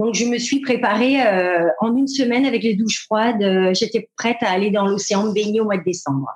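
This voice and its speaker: A woman speaks with a fairly high pitch, ordinary pitch variation and a somewhat breathy quality. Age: 50s. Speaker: retail worker. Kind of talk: interview. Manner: halting.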